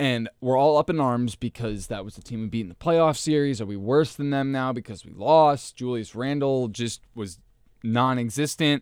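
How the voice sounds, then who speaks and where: Here a man has an unremarkable speaking voice at medium pitch, with big swings in loudness, in a very clean recording with a silent background. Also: ordinary pitch variation, moderate pace. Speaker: basketball podcast co-host. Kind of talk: casual sports discussion podcast. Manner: laughs often, easygoing.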